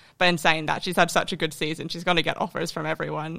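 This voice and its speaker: In a very clean recording with a silent background, a woman with an American accent speaks at a fairly low pitch in a bright, sharp tone. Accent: American-tinged Australian. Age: 20s. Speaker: professional footballer. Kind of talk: casual podcast interview.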